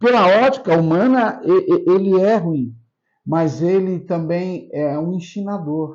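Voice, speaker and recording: This man talks at a very slow pace with a high pitch and lively intonation. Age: 60s. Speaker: pastor. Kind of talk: interview. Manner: halting, repeats words.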